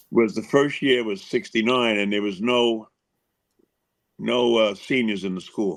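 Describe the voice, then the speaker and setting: A man with a New York accent, medium pitch and ordinary pitch variation, with long, frequent pauses. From Long Island, New York. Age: 70s. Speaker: former baseball pitcher. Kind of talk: podcast interview.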